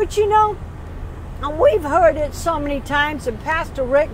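Background noise is light, and the sound is dry with no echo. A woman speaks at a high pitch. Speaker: lay preacher. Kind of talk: sermon. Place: car. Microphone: earbuds.

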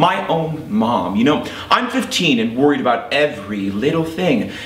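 A man's voice rises and falls in very wide pitch swings. Room echo can be heard around him. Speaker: actor performing monologue. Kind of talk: dramatic monologue. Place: stage.

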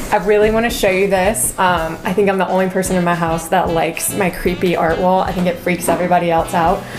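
With music playing behind her, a woman talks very fast in a flat monotone at a very even volume, hardly pausing at all. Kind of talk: casual home tour chat. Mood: cheerful, amused. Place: home room.

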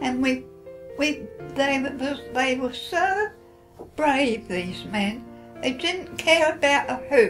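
Over clear background music, a woman talks at a very slow pace. Her voice is high-pitched, with lively intonation. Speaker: WW2 veteran, former WAAF member. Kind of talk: interview answer, personal recollection. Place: home room.

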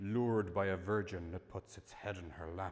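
Against a quiet background, the voice moves at a fairly slow pace with monotone, flat intonation. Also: man. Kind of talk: performance reading. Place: hall.

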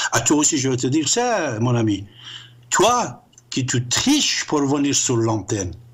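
This man has an Iranian accent and speaks at a fairly slow pace with long, frequent pauses, somewhat breathy. His tone is animated and his intonation lively, against a quiet background. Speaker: radio show host. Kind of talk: heated monologue, call-in show. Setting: call-in radio show, phone. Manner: animated, emphatic. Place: studio.

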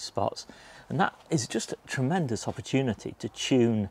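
A man at a moderate pace, with ordinary pitch variation and a dry sound with no echo. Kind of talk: casual vlog chat. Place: garden. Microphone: lapel.

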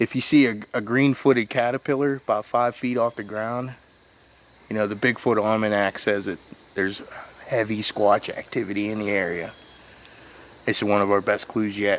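Speech at a moderate pace with fairly even intonation and long, frequent pauses comes through dry with no echo over light background noise. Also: man, fairly low pitch for a man. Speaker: comic paranormal investigator. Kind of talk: comedic mock-documentary commentary. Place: forest. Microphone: phone near.

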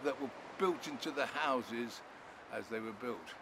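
Background noise is noticeable. Over it, a man talks. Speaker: presenter. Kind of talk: interview answer. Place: beach.

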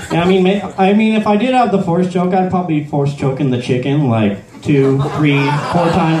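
A man talks at a moderate pace while noticeable background noise is present. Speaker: amateur stand-up comedian. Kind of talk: stand-up comedy set. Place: stage. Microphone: handheld.

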